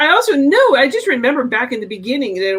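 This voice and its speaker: A high-pitched woman's voice with very wide pitch swings. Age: 60s. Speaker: health educator. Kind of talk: casual chat.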